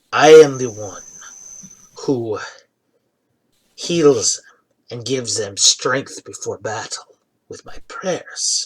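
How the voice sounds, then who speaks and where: A man uses a put-on character voice with a fairly high pitch. He moves at a very slow pace with long, frequent pauses. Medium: actual play. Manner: earnest, confiding.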